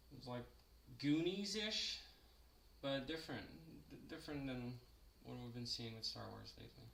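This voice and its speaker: With long, frequent pauses and big swings in loudness, a man talks at a moderate pace in a room with audible echo. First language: French. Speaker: sculptor and live streamer. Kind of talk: casual chat during live sculpting stream. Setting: live stream. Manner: hesitant with many fillers.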